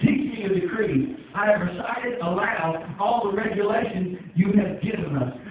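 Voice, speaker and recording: A high-pitched man with lively intonation, in strong room echo. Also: moderate pace, hardly any pauses. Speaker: preacher. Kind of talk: sermon. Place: church. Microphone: camera far.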